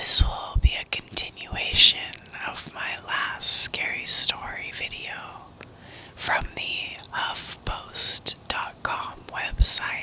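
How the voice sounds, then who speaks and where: Someone whispers at a very slow pace while noticeable background noise is heard. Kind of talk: read story. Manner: whispered.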